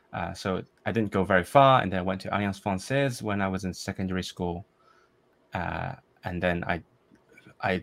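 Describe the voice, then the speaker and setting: This man speaks with a Cantonese accent and ordinary pitch variation. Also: very clean recording, silent background. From Hong Kong. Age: 20s. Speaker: composer and polyglot language learner. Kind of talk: casual interview chat.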